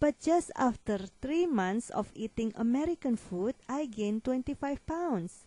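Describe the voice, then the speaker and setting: In a non-native accent, a woman speaks fairly slowly with a high pitch, lively intonation and a dark, mellow tone, the sound dry and close with no echo against a quiet background. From Asia. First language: not English. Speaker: weight loss consultant and author. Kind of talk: promotional monologue.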